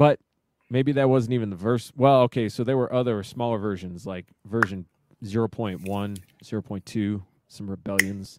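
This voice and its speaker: A man talks in an ordinary speaking voice, fairly low in pitch with ordinary pitch variation. His moderate pace sits in a dry, close sound with no echo. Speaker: podcast co-host. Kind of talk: casual banter, political talk. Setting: live stream with chat.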